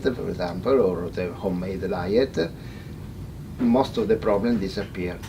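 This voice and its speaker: Speaking in an Italian accent, a man talks at a moderate pace in a fairly low pitch. There is noticeable background noise. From Italy. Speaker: veterinarian. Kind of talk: seminar talk. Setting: in-person seminar with audience. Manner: halting, many hesitations and repetitions.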